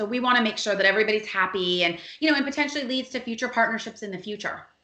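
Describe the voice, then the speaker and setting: A very fast-paced woman with an American accent and ordinary pitch variation, over noticeable background noise. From Miami, Florida. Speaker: PR agency founder. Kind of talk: podcast interview.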